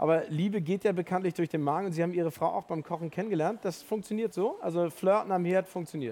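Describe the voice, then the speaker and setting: A very fast pace with hardly any pauses. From Hamburg. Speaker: event moderator. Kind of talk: live stage interview. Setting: stage with audience.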